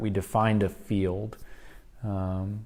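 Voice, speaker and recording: A soft-spoken man at a fairly low pitch, with audible room echo. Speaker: church class teacher. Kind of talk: lecture.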